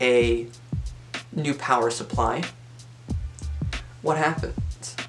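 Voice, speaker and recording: Talking at a very slow pace, a man is heard over music in the background. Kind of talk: casual talk to camera.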